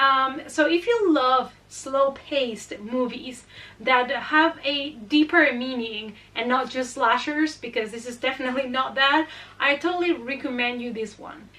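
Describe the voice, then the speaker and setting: A woman with a Spanish accent, high-pitched, bright and sharp, her voice raised and projected, fairly slow, with ordinary pitch variation and big swings in loudness. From Spain. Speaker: horror movie youtuber. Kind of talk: casual movie recommendations.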